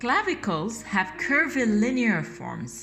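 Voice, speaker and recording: A woman speaks with a French accent. Audible room echo is present. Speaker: art teacher. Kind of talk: tutorial. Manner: halting, with fillers.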